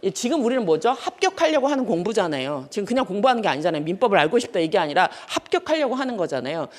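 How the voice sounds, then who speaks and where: At a very fast clip with hardly any pauses, a woman talks in a fairly high voice that swings very widely in pitch. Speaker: law lecturer. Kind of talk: lecture. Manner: animated.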